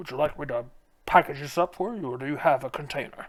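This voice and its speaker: Putting on a character voice, a man talks at a very fast pace and a fairly high pitch. His loudness swings widely. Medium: actual play. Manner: salesman patter.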